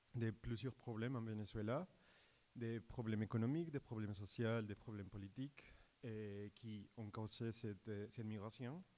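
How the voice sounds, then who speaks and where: A man with a Colombian accent at medium pitch and moderate pace, his tone dark and mellow. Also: ordinary pitch variation. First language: Spanish (speaking French). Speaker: doctoral student in economics. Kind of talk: research presentation on stage. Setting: stage with audience. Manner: halting, many repetitions and fillers.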